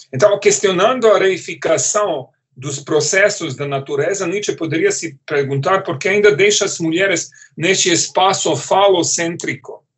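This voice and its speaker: A high-pitched male voice with a non-native accent, ordinary pitch variation and a moderate pace. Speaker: philosophy professor. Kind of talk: lecture. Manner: halting, many repetitions and fillers.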